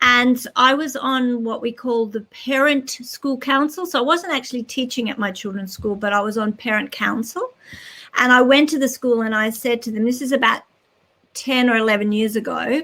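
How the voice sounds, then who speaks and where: Her high pitch shows ordinary pitch variation as a woman with an Australian accent talks at a moderate pace. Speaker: children's author and educator. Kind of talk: interview.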